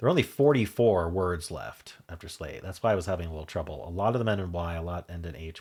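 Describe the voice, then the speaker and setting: Against a silent background in a very clean recording, a man with an American accent and a very deep, low pitch talks at a fairly quick pace with ordinary pitch variation. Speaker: puzzle game YouTuber. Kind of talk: casual solo commentary while solving a puzzle. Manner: thinking aloud, hesitant with fillers.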